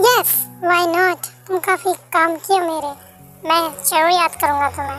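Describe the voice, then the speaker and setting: Over clear music in the background, a woman performs a put-on character voice at a fairly slow pace. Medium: audio drama.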